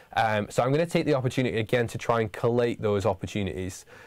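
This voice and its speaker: With a northern English accent, a man speaks in fairly even intonation on a very clean recording with a silent background. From northern England. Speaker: university lecturer. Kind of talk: livestream Q&A for students. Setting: studio livestream. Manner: halting, many fillers.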